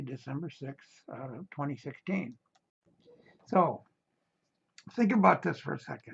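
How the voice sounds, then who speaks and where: A man with a fairly high pitch, vocal fry and lively intonation, at a fairly slow pace with long, frequent pauses. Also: big swings in loudness. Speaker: real estate investment presenter. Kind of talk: promotional talk inviting to a meeting. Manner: hesitant, many fillers.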